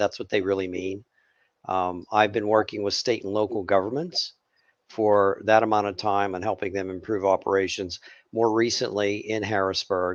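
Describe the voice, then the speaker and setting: A man speaks in a flat monotone with a Pittsburgh accent, his pitch fairly low. The pace is moderate and the background quiet. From Pittsburgh, Pennsylvania. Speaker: government technology consultant. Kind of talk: webinar panel discussion.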